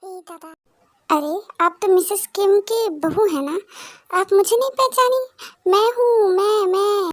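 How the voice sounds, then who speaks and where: Using a put-on character voice at an extremely high pitch, a woman talks at a moderate pace in a dry, close sound with no echo. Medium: voice reel. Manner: eager, comically self-important.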